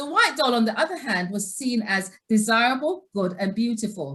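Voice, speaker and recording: Bright and sharp in tone, a woman with an English accent speaks at a moderate pace in a fairly high voice that swings very widely in pitch. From England. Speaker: nurse and educator. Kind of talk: webinar presentation.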